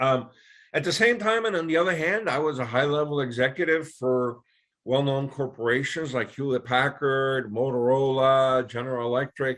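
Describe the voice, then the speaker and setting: A man with a Spanish accent, medium pitch, ordinary pitch variation and a moderate pace. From Puerto Rico. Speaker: business broker. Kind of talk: business presentation. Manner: conversational, filler-heavy.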